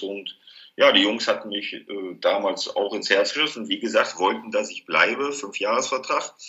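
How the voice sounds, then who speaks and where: A man speaks at a moderate pace. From Ruhr area, Germany (Duisburg). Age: 50s. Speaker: former footballer, snack stand owner. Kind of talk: interview.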